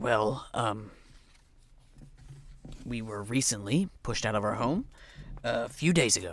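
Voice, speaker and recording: Using a put-on character voice, a man speaks raspily at a medium pitch, with lively intonation, a fairly slow pace and long, frequent pauses. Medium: actual play. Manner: folksy, plain-spoken.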